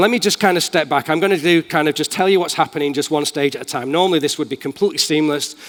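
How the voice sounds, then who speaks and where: Animated and very fast, a man talks with a Manchester accent. His pitch is fairly high, with ordinary pitch variation. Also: hardly any pauses. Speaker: tech company speaker. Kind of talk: conference talk with live demo. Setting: stage with audience.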